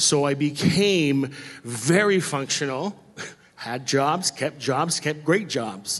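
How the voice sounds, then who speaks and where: A man with an American accent speaks very slowly at a fairly high pitch, with ordinary pitch variation. Noticeable background noise is present. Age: 40s. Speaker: church member sharing testimony. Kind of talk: testimony. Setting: church stage with congregation.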